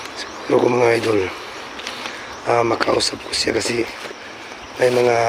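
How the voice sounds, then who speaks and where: Over noticeable background noise, a man talks fairly slowly at a medium pitch. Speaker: paranormal vlogger. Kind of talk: vlog narration while exploring. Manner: halting with many fillers.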